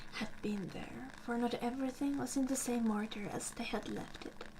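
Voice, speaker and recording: Soft-spoken and calm in tone, a woman talks at a high pitch with fairly even intonation and a fairly slow pace. Noticeable background noise is present. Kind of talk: ASMR bedtime story reading. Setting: fire crackling in the background. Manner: soft-spoken, calm.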